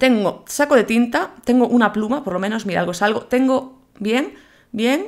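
A woman speaks in an animated tone at a moderate pace. Her pitch is fairly high, with ordinary variation. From Galicia, Spain (Vigo). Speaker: gaming YouTuber. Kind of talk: gameplay commentary.

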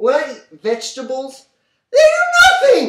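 This is a put-on character voice, high-pitched and squeaky. It moves at a moderate pace. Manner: exaggerated, indignant.

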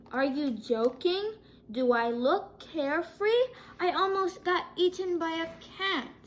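A put-on character voice from a woman, extremely high in pitch and fairly slow in pace. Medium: read story.

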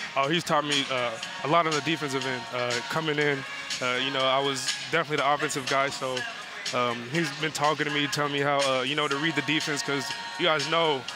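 A man talks at a very fast pace over clear background music, the sound dry with no echo. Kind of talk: interview answer. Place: stadium. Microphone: headset.

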